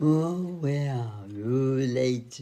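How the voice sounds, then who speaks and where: Putting on a character voice, a man keeps his pitch at a medium level. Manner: mooing, exaggerated comic.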